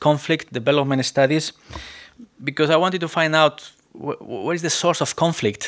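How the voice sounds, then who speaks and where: A man speaks with a Spanish accent. He keeps a moderate pace. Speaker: preacher. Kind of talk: sermon. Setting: church.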